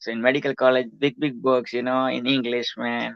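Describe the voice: With a Gujarati accent, a man speaks at a fairly quick pace in a medium pitch, showing vocal fry. His pitch moves little, and the sound is dry and close with no echo. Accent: Gujarati Indian.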